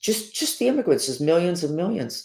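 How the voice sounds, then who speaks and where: A woman with an American accent and lively intonation, on a very clean recording with a silent background. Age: 70s. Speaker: podcast host, self-described remote viewer. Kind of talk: casual monologue with guided breathing. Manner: rambling, halting.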